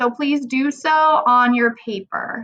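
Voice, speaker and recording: A woman's raised, projected voice has a bright, sharp tone and high pitch with ordinary pitch variation. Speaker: math teacher. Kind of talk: recorded lesson tutorial. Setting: recorded video lesson.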